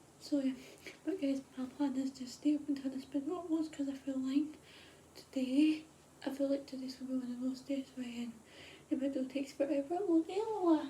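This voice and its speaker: Whispering, a woman talks at a fairly quick pace. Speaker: vlogger. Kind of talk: casual vlog. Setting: at home at night. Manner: rambling, repetitive fillers.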